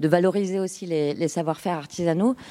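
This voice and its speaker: Speaking in a plain, everyday voice, a woman keeps a moderate pace and a medium pitch with ordinary variation. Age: 30s. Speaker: startup co-founder. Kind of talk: interview.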